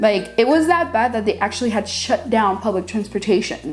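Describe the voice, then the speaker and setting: An upbeat tone at a moderate pace, with music in the background. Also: woman. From Haiti. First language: Haitian Creole / French. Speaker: cake decorating YouTuber. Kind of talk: casual Q&A vlog. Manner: casual, upbeat.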